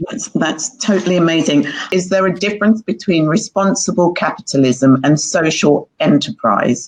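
With an unremarkable speaking voice, a woman talks at a moderate pace in a fairly low pitch, with lively intonation and hardly any pauses. The sound is dry and close, with no echo. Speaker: co-host of online talk series.

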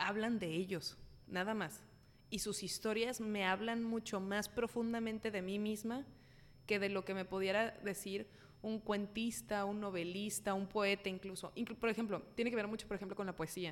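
In a plain, everyday voice, a woman speaks at a medium pitch. Her pace is moderate and her intonation fairly even. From Mexico City. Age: 20s. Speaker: comedian and YouTuber. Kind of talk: casual chat.

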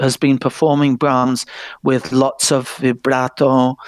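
At a very slow pace, a man with an English accent speaks at a fairly high pitch in a dry, close recording with no echo. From England. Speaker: music presenter. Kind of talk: casual chat.

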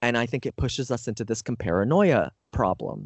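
A man with a Canadian accent talks at a moderate pace in a medium pitch, his intonation lively. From Canada. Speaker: speaking coach and author. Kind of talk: interview. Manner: animated.

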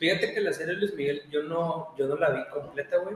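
A man talks at a moderate pace with fairly even intonation. Noticeable background noise runs underneath. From Mexico, Monterrey. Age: 20s. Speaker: podcast co-host, accountant. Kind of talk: casual chat.

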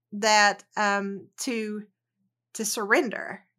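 A woman speaks with a Southern US accent in a bright, sharp tone. The recording is very clean, with a silent background. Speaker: educator and researcher, author. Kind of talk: casual interview chat. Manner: hesitant, many fillers.

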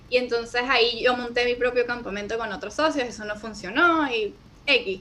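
A woman's high voice, with ordinary pitch variation, moves at a moderate pace while background noise is noticeable. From Venezuela. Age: 20s. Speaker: video editor and entrepreneur. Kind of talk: interview conversation.

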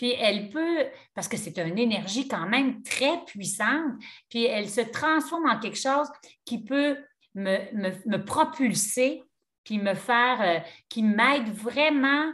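With a Quebec accent, a woman speaks at a fairly high pitch and a very slow pace, her intonation lively. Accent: Québécois French. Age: 60s. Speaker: yoga teacher. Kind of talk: casual chat.

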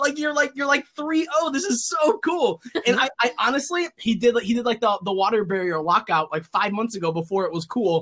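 Loud and animated, a man with an extremely high pitch talks at a fairly quick pace, his pitch swinging very widely. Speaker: card game YouTuber. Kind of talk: casual chat. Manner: talkative, animated.

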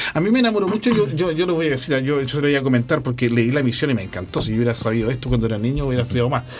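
Noticeable background noise sits under speech delivered at a very fast pace with hardly any pauses and very even loudness. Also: man, medium pitch for a man, lively intonation. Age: 50s. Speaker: radio co-host. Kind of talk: casual chat interview. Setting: radio studio with streaming.

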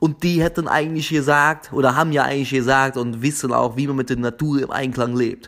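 At a moderate pace, a man talks with medium pitch and fairly even intonation. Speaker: podcast host. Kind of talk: casual solo podcast monologue. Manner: halting, with frequent repetitions and fillers.

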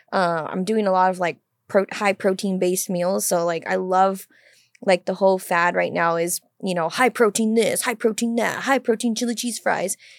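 A woman with an unremarkable speaking voice talks at a moderate pace and a medium pitch with fairly even intonation, on a very clean recording with a silent background and a dry, close sound with no echo. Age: 20s. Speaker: podcast co-host, crisis center worker. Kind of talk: casual chat. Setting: studio.

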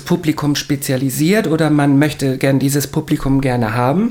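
Over noticeable background noise, the delivery holds a moderate pace. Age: 40s. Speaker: podcast co-host and bar worker. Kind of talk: casual chat.

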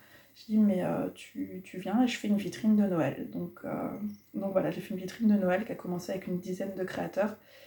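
A woman talks at a fairly quick pace, her pitch varying in an ordinary way, with noticeable background noise around her. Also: medium pitch for a woman. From Normandy, Cherbourg. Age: 30s. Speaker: local food network founder. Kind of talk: casual interview.

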